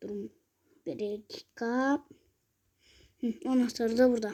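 A woman's fairly high voice at a very slow pace. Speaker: mobile gaming youtuber. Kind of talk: gameplay commentary. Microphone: phone mic, muffled when touched.

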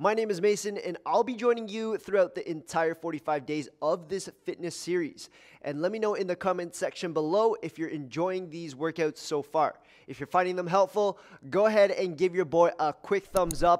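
Over a quiet background, a man speaks at a moderate pace. His pitch is high, with ordinary pitch variation. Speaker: fitness trainer. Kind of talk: workout intro to camera. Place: gym. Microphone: headset.

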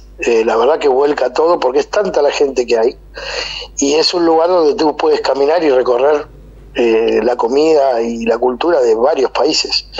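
Background noise is noticeable here. The talking proceeds at a moderate pace. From Argentina. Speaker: event organizer. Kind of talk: casual interview. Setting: phone call.

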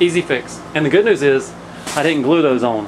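Noticeable background noise runs throughout. The talking proceeds at a moderate speed. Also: man. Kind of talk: casual vlog chat. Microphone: phone near.

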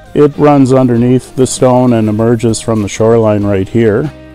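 At a fairly slow pace, a man talks with ordinary pitch variation. Faint music plays in the background of a dry sound with no echo. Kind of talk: tour explanation. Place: waterside.

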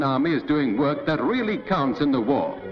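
The speech moves at a moderate pace over faint background music. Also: man. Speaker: documentary narrator. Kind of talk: newsreel-style narration. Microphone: old recording.

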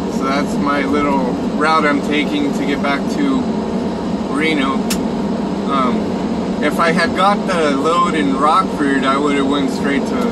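A man speaks at a fairly slow pace. Loud background noise runs underneath. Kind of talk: casual vlog chat. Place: car. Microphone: phone near.

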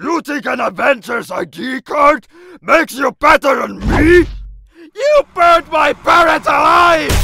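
A man shouts in a put-on character voice at an extremely high pitch and a fairly slow pace. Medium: dub. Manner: angry, shouting.

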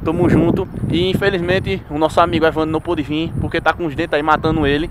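A man talks at a fairly quick pace over light background noise, the sound dry with no echo. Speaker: ghost-hunting vlogger. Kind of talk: casual vlog chat. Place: open country. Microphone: phone near.

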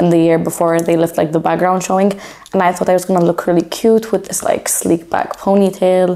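With an ordinary speaking voice, a woman talks at a fairly low pitch with fairly even intonation. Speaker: culinary student and pastry chef vlogger; culinary student vlogger. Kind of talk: casual vlog show-and-tell. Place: home room. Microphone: lapel.

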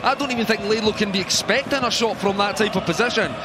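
Raised and projected, a man's high-pitched voice has an animated tone and a fairly quick pace. Background noise is noticeable. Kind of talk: football co-commentary, analysing replays. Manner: animated, analytical, fluent with some stumbles and repeated words.

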